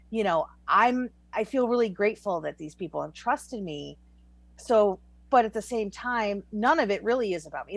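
A woman talks in a plain, everyday voice at a fairly high pitch with lively intonation. The recording is very clean, with a silent background. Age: 40s. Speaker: author. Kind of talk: casual chat.

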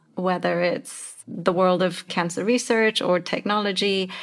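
Speaking at a fairly slow pace, a woman has a plain, everyday voice in a medium pitch. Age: 40s. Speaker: podcast co-host, leadership advisor. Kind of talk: interview.

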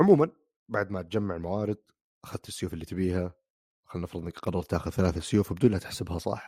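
At a very fast pace, a man with a very deep, low pitch and a dark, mellow tone speaks with ordinary pitch variation, on a very clean, dry, close recording with no echo and a silent background. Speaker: podcast host. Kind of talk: casual chat.

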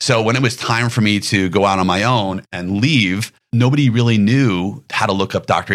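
A man with an unremarkable speaking voice at medium pitch with ordinary pitch variation, on a very clean recording with a silent background. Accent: American. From New York. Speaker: pediatric dentist. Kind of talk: interview conversation.

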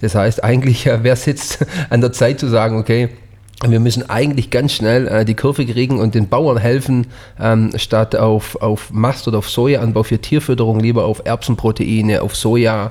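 With a normal speaking voice, a man talks at medium pitch and a moderate pace, keeping very even loudness and fairly even intonation. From Swabian Jura, Germany. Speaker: chef, podcast co-host. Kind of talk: casual chat.

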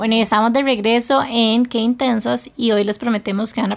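A woman speaks at a moderate pace in a plain, everyday voice with a fairly high pitch. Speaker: podcast co-host. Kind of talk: casual chat.

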